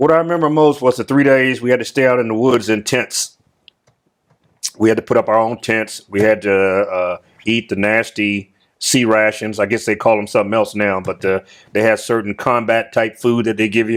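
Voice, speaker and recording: A man with an American accent speaks at a moderate pace in a medium pitch, with ordinary pitch variation and an unremarkable speaking voice. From US South. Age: 60s. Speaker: retired military officer. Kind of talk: interview.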